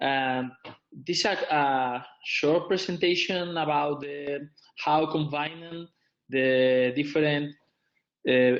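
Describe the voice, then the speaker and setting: With a non-native accent, a man speaks at a very slow pace and a fairly high pitch, using fairly even intonation and long, frequent pauses. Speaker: visiting professor, physiotherapy presenter. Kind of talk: webinar lecture. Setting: online webinar. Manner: halting.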